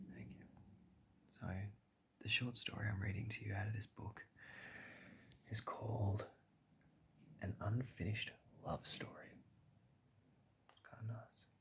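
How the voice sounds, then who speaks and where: Soft-spoken delivery at a moderate pace, broken by long, frequent pauses. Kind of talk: casual talk to camera.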